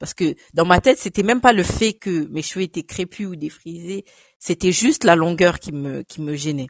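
A woman with a plain, everyday voice talks at a moderate pace with ordinary pitch variation, recorded dry and close with no echo against a quiet background. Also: fairly low pitch for a woman. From France, arrived from Cameroon at 5. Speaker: photo model and image consultant. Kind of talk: casual interview.

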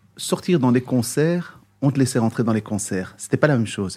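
Speaking at a fairly quick pace, a man with a dark, mellow, somewhat breathy tone uses lively intonation in a very clean recording with a silent background. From Brussels, Belgium (Moroccan parents). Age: 50s. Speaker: singer and musician. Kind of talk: interview.

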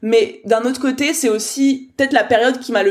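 In an animated tone, a woman with a high pitch talks with ordinary pitch variation. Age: 20s. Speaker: business coach. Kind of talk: interview.

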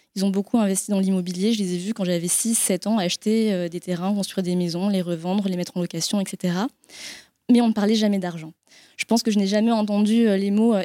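A woman with a dark, mellow tone speaks fairly quickly at a medium pitch in a monotone, flat intonation, with a dry, close sound and no echo. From France. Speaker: marketing director at a sustainable investment firm. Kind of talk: panel discussion. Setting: live event with audience.

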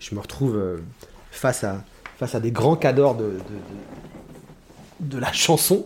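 A man with a medium-pitched voice speaks very slowly and with lively intonation over noticeable background noise. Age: 40s. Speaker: musical theatre singer. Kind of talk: casual chat. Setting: at home.

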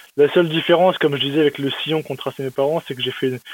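This man talks in a fairly high pitch with a monotone, flat intonation. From eastern France, Metz. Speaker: machine learning researcher in finance. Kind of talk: interview.

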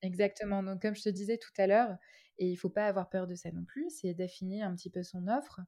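The voice has a dark, mellow tone and ordinary pitch variation, moving at a fairly quick pace. The recording is very clean with a silent background. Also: woman, medium pitch for a woman. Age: 20s. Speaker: concierge business owner. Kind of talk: interview. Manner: hesitant, many fillers.

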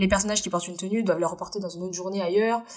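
Noticeable background noise sits behind a woman who speaks at a very fast pace with fairly even intonation. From France, Indian family. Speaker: costume dresser. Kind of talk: casual interview chat.

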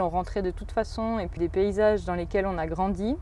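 A plain, everyday voice from a woman, fairly quick and mid-range in pitch. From Switzerland, Valais (Saillon). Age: 20s. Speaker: agronomist. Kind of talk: interview. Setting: outdoors in an orchard.

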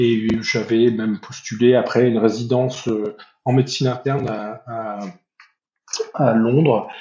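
Long, frequent pauses break up a man's fairly slow, monotone speech with flat intonation. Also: medium pitch for a man. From northern France (Nord). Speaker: veterinarian, association president. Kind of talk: interview. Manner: halting, many hesitations and repetitions.

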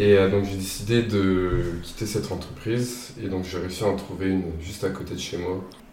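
Recorded with audible room echo, a man speaks at a moderate pace with fairly low pitch and fairly even intonation. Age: 20s. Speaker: logistics student. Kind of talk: interview.

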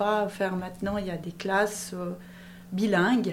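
Very slowly and in a flat monotone, a woman speaks at a medium pitch, with audible room echo around her. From Switzerland, Valais (Monthey). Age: 50s. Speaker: business owner. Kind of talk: interview.

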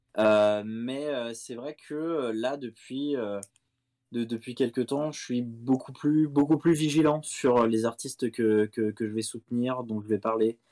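On a very clean recording with a silent background and a dry, close sound with no echo, a man speaks very slowly at medium pitch with a dark, mellow tone and fairly even intonation. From France, Seine-et-Marne (77). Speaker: music journalist. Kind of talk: interview. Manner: halting, many repetitions.

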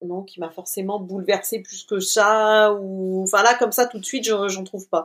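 A woman's medium-pitched, monotone, flat delivery at a moderate pace, with hardly any pauses. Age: 40s. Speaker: community manager, cancer survivor. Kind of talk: interview.

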